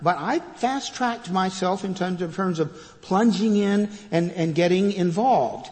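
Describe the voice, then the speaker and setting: Noticeable background noise sits alongside audible room echo in this clip. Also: man, high pitch for a man, ordinary pitch variation, moderate pace. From Texas, Fort Worth. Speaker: retired pastor, guest preacher. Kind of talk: sermon. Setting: church. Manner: hesitant fillers and repetitions.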